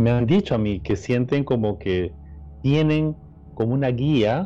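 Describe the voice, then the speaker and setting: Over music in the background, a man at a medium pitch speaks with a Peruvian accent at a moderate pace, his pitch swinging very widely. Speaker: podcast co-host. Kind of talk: casual chat.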